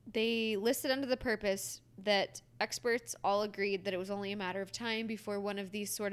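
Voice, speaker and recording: A woman with an ordinary speaking voice, medium pitch and a fairly quick pace. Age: 20s. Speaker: podcast co-host. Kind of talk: casual chat.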